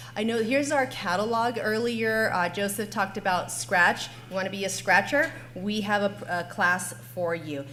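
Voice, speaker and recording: A woman's medium-pitched voice with lively intonation and audible room echo. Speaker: school district technology coordinator. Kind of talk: conference panel presentation.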